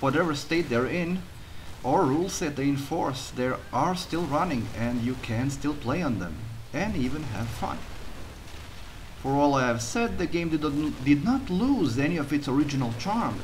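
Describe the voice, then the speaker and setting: A man talks with a strong Croatian accent. His pace is moderate and his intonation lively. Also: fairly high pitch for a man. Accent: heavy Croatian. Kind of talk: gameplay commentary voiceover.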